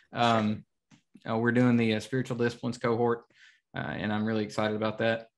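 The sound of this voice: A man at a fairly quick pace, fairly low in pitch, with little pitch movement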